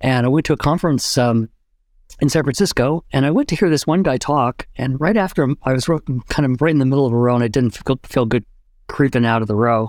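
The recording is very clean, with a silent background. The speech runs very fast, with ordinary pitch variation. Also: man, medium pitch for a man. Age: 70s. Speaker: retired psychology professor and author. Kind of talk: interview conversation.

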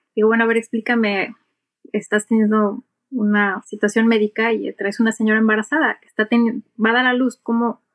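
Speaking with a Mexican accent, a woman with a fairly high pitch talks at a moderate pace in a monotone, flat intonation, with big swings in loudness and a dry, close sound with no echo. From Mexico. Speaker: airline captain and aviation English instructor. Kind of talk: interview.

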